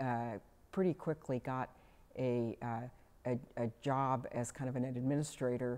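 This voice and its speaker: With an American accent, a woman speaks at a very deep, low pitch in a dark, mellow tone with fairly even intonation. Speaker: oral history interviewee. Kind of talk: oral history interview. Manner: halting, many fillers.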